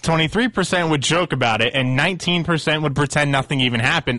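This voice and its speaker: A man talks at a very fast pace with a bright, sharp tone. His voice is fairly high, with ordinary pitch variation. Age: 20s. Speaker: radio producer. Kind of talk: news commentary. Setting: studio.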